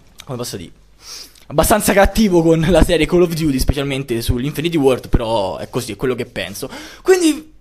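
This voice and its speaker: A man talks very fast while noticeable noise carries on in the background. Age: 20s. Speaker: gaming youtuber. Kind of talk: live gameplay commentary. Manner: casual, swearing outbursts.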